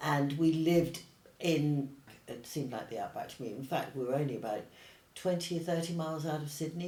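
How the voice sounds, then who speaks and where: Noticeable background noise and audible room echo surround a woman with a very deep, low pitch. She talks at a fairly quick pace with ordinary pitch variation. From Australia then England from age 10. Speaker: paint company founder and artist. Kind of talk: casual interview. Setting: in-person interview, same room.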